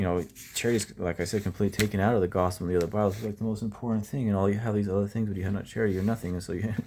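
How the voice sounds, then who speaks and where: A man talks very fast in a fairly low, dark and mellow voice. His intonation is flat and monotone. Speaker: bible study presenter. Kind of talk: bible reading and commentary. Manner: casual, halting with fillers.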